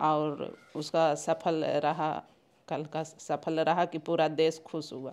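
A woman's very slow, monotone, flat delivery at a very deep, low pitch. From Bihar, Gaya; Bihar. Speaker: scientist's mother. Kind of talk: interview. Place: home room. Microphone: handheld.

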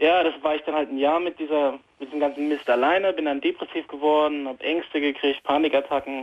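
A man talks at a very fast clip in a fairly high pitch. His intonation stays monotone and flat. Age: 20s. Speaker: caller with anxiety. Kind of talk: phone call-in conversation. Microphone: phone line.

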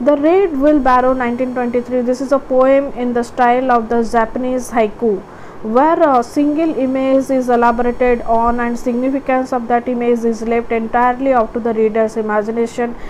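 Against noticeable background noise, a woman talks at a moderate pace and high pitch with fairly even intonation and hardly any pauses. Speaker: educational video tutor. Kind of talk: lecture-style tutorial, with a short poem read aloud. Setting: online video, recorded solo. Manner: halting, with frequent fillers.

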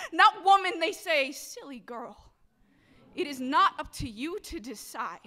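A woman's raised, projected voice, extremely high in pitch, bright and sharp in tone, at a fairly slow pace. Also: quiet background. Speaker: poet and activist. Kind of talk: slam poetry performance. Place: hall. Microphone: handheld.

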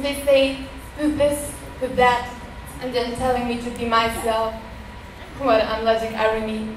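With long, frequent pauses, a woman speaks in a high pitch and a monotone, flat intonation over noticeable background noise. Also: moderate pace. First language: German. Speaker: poet. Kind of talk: poem performed. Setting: stage with audience. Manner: rhythmic, earnest spoken-word delivery with rhymed, emphatic lines.

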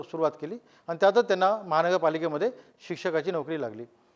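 Ordinary pitch variation from a man, recorded very cleanly against a silent background. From Maharashtra, raised in Mumbai. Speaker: construction entrepreneur. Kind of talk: testimony.

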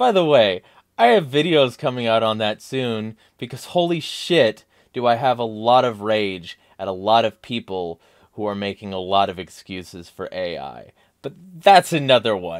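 Against a quiet background, a man speaks at a moderate pace with big swings in loudness. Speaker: political vlogger. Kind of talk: commentary reading an article. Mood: angry, emphatic. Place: home room. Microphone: studio mic.

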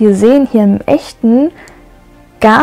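Faint music sits in the background. Over it, the woman talks very slowly. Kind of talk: casual tour commentary. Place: hall. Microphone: phone near.

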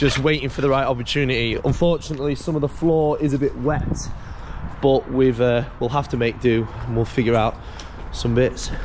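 A man talking at a fairly quick pace, fairly even intonation, noticeable background noise behind him. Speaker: parkour vlogger. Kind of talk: casual vlog chat. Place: open country. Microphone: phone near.

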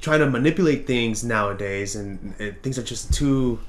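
At a moderate pace and medium pitch, a man speaks with ordinary pitch variation amid audible room echo.

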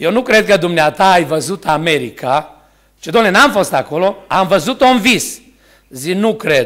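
Against a quiet background, a man talks at a fairly slow pace in a high pitch with lively intonation. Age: 60s. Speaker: preacher. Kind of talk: sermon. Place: church. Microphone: podium.

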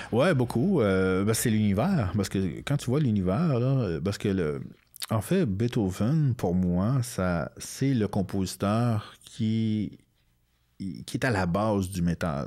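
A man with a fairly low pitch speaks at a very slow pace in a dark, mellow tone, his intonation lively. His loudness stays very even against a quiet background. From Quebec, Outaouais (north of Gatineau); Quebec. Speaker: comic book author and illustrator; comic book author. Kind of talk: interview. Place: studio. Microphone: studio mic.

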